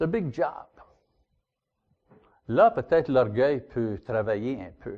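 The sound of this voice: A man speaks at a medium pitch and a slow pace. His intonation is lively.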